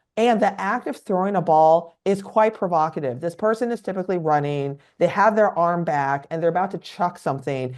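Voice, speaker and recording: A woman with a Californian accent speaks at a fairly quick pace, with a fairly low pitch. Her intonation is lively, and there are hardly any pauses. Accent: Californian, informal-sounding. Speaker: psychiatrist. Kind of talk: educational podcast interview. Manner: naturally musical, informal; quieter than usual.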